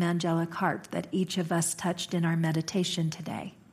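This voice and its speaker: A somewhat breathy woman with a fairly low pitch, monotone and flat in intonation, at a moderate pace. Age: 50s. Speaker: minister. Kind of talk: sermon. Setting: church.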